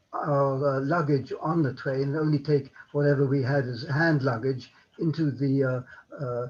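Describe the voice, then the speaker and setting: A man with a fairly high pitch and a somewhat breathy voice talks at a fairly slow pace with fairly even intonation. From Germany (Berlin). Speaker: Holocaust survivor. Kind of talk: interview answer.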